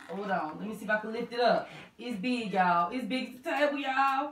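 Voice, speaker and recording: A woman speaks at a fairly quick pace. Audible room echo and light background noise surround her voice. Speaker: mukbang host. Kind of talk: casual vlog chat.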